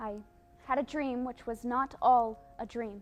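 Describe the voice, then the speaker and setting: A woman speaks at a high pitch and a very slow pace. Music plays in the background. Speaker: college theatre student actor. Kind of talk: dramatic poetry monologue.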